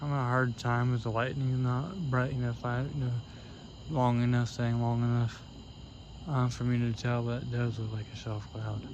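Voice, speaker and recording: A man with an American accent talks at a moderate pace and medium pitch, his intonation fairly even, with audible room echo. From US Midwest, Cincinnati, Ohio. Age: 20s. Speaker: storm chaser vlogger. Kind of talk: casual vlog commentary. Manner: halting, many fillers.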